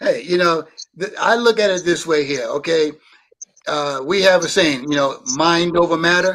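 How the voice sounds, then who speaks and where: The speaker has a Brooklyn accent and ordinary pitch variation. The pace is moderate. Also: man, high pitch for a man. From Brooklyn, New York. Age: 60s. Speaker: guest on watch talk show. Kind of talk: casual chat.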